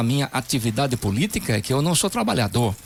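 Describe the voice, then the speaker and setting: Medium in pitch, a man with an unremarkable speaking voice talks at a moderate pace with lively intonation. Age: 60s. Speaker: politician. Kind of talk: radio interview.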